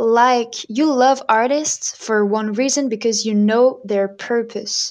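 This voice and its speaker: Someone with a French accent speaks at a very slow pace. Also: woman. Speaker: singer and violinist. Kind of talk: interview.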